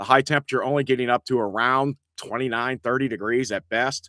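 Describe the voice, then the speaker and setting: On a very clean recording with a silent background, a man speaks at a moderate pace in a bright, sharp tone, the sound dry and close with no echo. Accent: rural Indiana. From Indiana. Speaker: local online show host. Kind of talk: casual live-stream chat and weather talk. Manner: casual, rambling with fillers.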